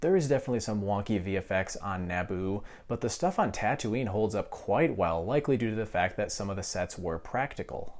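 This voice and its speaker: Speaking at a fairly quick pace, a man with a fairly low pitch uses ordinary pitch variation in a very clean recording with a silent background. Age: 20s. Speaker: film reviewer. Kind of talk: video review monologue. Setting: at home, others sleeping. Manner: quieter than normal.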